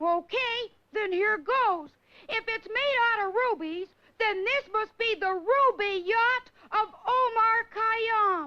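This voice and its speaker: This is a cartoonish character voice at an extremely high pitch. The pace is fairly slow. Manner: eager, bright.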